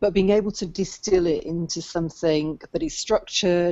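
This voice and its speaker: A woman in a British accent, fairly low-pitched, with fairly even intonation. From UK. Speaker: business coach and book coach. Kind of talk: interview.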